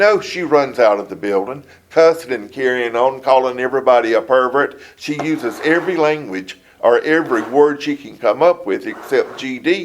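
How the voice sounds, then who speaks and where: A man with a coastal Georgia accent speaks at a moderate pace and a fairly high pitch. His pitch varies in an ordinary way while his loudness swings widely. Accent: Southern US (coastal Georgia). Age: 70s. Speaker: city council member being interviewed by investigators. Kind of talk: investigative interview. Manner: halting, with fillers and restarts.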